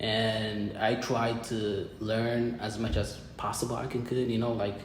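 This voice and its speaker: A man's medium-pitched, monotone delivery in an Ethiopian accent, fairly slow, with noticeable background noise and audible room echo. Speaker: college student. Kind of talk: casual interview chat. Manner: halting, repetitive phrasing.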